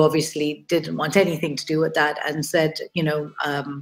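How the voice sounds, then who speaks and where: With music in the background, a woman speaks at a moderate pace in a very deep, low pitch and a monotone, flat intonation. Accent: British. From Kenya. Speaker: artist. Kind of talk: interview presentation.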